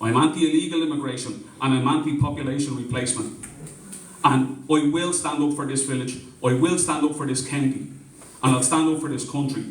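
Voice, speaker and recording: Speaking quickly-ish with fairly even intonation, a man with a fairly high pitch talks with a Dublin accent amid noticeable background noise and audible room echo. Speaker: community meeting organiser. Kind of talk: public speech at community meeting. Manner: impassioned, repetitive.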